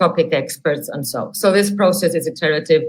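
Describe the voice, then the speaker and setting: A woman talks with a Catalan accent in a fairly low pitch. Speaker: academic researcher. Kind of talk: webinar software demonstration.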